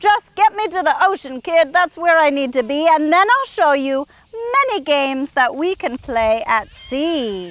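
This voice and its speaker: Using a squeaky, put-on character voice with a cheerful tone, a woman speaks at a fairly slow pace with very wide pitch swings, the sound dry and close with no echo. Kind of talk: bedtime story. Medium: read story. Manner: cheerful, friendly.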